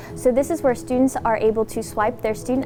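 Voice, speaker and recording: Over music in the background, a woman speaks at a fairly quick pace. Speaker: student tour guide. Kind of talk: campus tour walkthrough.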